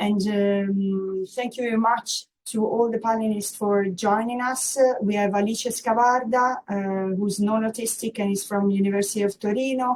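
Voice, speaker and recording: A woman with an Italian accent talks at a moderate pace and a fairly high pitch, monotone and flat, with hardly any pauses. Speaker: workshop moderator. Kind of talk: conference moderation. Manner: hesitant, many fillers.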